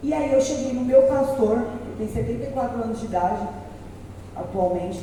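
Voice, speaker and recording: There is audible room echo and noticeable background noise. A woman talks at a moderate pace with ordinary pitch variation. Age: 30s. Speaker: city councillor and activist. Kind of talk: speech to an audience. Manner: animated, talkative.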